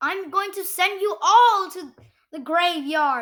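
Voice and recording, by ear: Bellowing at a fairly slow pace, a put-on character voice hits an extremely high pitch.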